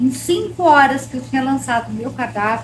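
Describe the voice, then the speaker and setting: Background noise is noticeable throughout. Through it, a woman talks. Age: 60s. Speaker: baking course student. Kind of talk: testimony.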